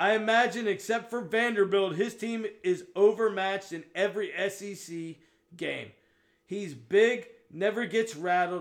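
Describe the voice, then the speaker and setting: With an American accent, a man speaks at a high pitch and fairly slow pace, his intonation fairly even. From Pittsburgh, US Northeast. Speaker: sports podcast co-host. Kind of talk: casual chat.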